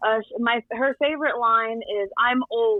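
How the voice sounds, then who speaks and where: A woman talks at a moderate pace with fairly high pitch. She has a plain, everyday voice. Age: 20s. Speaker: young mother-to-be sharing life story. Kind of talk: casual interview chat.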